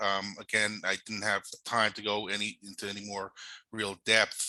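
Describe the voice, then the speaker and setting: A man speaks with a New York accent. His tone is bright and sharp. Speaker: cybersecurity and privacy law presenter. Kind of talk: webinar presentation. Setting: online webinar. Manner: halting, many fillers.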